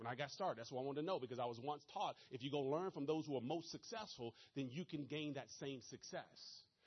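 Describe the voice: A man speaks at a medium pitch and a fairly quick pace, his voice carrying a slightly husky edge and ordinary pitch variation.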